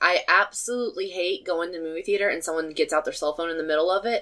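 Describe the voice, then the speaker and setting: A woman talks at a very fast pace with lively intonation. Her pitch sits in the medium range. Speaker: podcast co-host. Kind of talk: casual chat.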